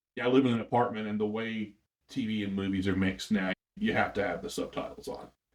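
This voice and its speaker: With an unremarkable speaking voice, a man talks at a fairly quick pace and medium pitch. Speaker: musician. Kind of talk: interview.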